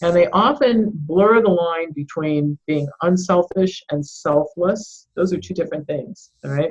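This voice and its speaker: A woman speaks slowly in a somewhat breathy voice with ordinary pitch variation. She hardly pauses at all. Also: fairly low pitch for a woman. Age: 60s. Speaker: doctor and author. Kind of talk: interview.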